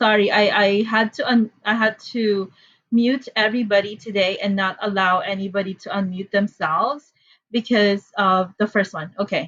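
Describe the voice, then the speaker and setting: A woman speaks with a strong Filipino accent. Her pitch variation is ordinary. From Philippines. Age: 30s. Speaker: math teacher. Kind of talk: online class instructions. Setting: Zoom video call. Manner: casual with many fillers.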